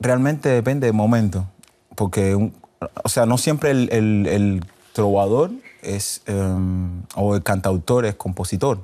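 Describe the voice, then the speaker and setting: Very slowly, a man speaks in a dark, mellow tone, with fairly low pitch and ordinary pitch variation. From Cuba. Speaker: singer-songwriter and guitarist; guest. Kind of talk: interview. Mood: relaxed, smiling. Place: studio. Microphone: lapel.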